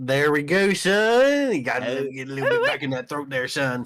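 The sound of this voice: Putting on a character voice, a man drawls in a guttural, fairly high-pitched tone at a moderate pace. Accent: Southern.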